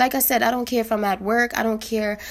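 At a fairly quick pace, a woman speaks in an ordinary speaking voice with a fairly high pitch. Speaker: podcaster. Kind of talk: casual solo monologue. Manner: informal, conversational, reflective; upbeat, encouraging.

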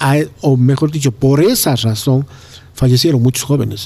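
A man speaks at a moderate pace in a medium pitch. His tone is dark and mellow, with ordinary pitch variation. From Ecuador, Cuenca. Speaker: doctor and neighborhood leader. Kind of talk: interview conversation.

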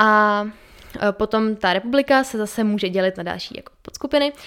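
A woman speaks at a fairly high pitch. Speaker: podcast co-host. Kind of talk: casual educational chat. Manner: fast.

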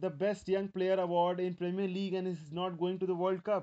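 Speaking at a moderate pace with an Indian accent, a man has a high pitch, a dark, mellow tone and fairly even intonation. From India, Mumbai. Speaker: football podcast host. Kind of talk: solo podcast monologue.

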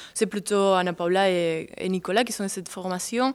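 A woman with a Spanish accent, medium in pitch, on a very clean recording with a silent background. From southern Spain. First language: Spanish (speaking French). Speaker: dancer and choreographer. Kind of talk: interview.

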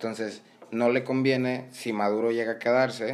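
A man talks with a plain, everyday voice, his pace moderate. His pitch is medium and his intonation fairly even. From Venezuela. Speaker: Venezuelan guest commenting on politics. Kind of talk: casual chat.

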